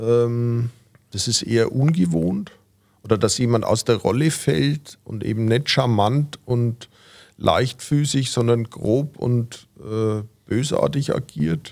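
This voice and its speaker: A man speaks very slowly at a medium pitch, with ordinary pitch variation. The recording is very clean, with a silent background. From Franconia, Fürth. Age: 50s. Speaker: cabaret artist. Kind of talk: interview. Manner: hesitant, many fillers.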